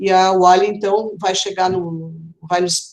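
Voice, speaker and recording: A woman is speaking. Her pitch is medium. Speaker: film critics' association leader. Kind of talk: live online panel talk. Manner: hesitant, many fillers.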